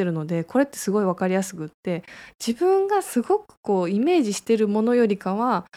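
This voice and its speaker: A woman with a fairly high pitch and a dark, mellow tone talks at a fairly quick pace with very wide pitch swings, on a very clean recording with a silent background. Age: 30s. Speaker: clinic director and radio host. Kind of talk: casual solo radio talk. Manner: hesitant with fillers.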